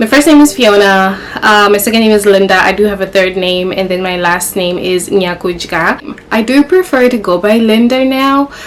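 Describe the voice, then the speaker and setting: Amid noticeable background noise, a woman with a Zimbabwean accent talks at a moderate pace with hardly any pauses. Her pitch is medium, with ordinary variation. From Zimbabwe, Kadoma and Harare. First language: Shona. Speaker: YouTuber. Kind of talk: casual sit-down vlog. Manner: casual, conversational.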